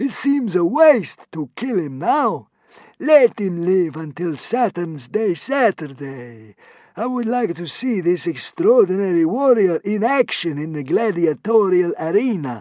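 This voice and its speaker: A man's put-on character voice, high-pitched and drawling, at a fairly slow pace with very wide pitch swings. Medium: read story. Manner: drawling, lazy.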